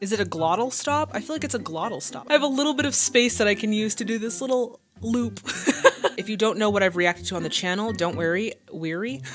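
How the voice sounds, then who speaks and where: Talking at a very fast pace, a woman with a medium pitch uses very wide pitch swings and an animated tone against noticeable background noise. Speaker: film reaction youtuber. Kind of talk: blooper outtakes.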